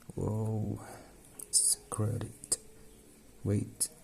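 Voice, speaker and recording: A man's fairly low-pitched voice moves at a very slow pace while noticeable background noise carries on around it. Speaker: craft tutorial maker. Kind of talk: tutorial. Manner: halting.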